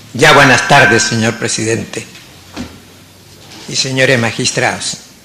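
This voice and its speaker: The speaker moves at a fairly slow pace with fairly even intonation. Noticeable background noise and audible room echo fill the recording. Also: man, medium pitch for a man. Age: 80s+. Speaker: lawyer. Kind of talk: court oral argument. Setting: courtroom. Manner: formal.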